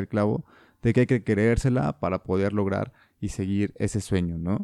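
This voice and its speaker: A man's dark, mellow voice with a Mexican accent at a moderate pace, recorded very cleanly against a silent background, dry and close with no echo. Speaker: podcast host. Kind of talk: interview conversation.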